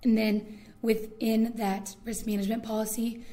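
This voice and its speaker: In a room with audible echo, a woman with an American accent speaks at a fairly high pitch in a monotone, flat delivery. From Indiana. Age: 20s. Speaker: student leader. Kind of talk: oral history interview.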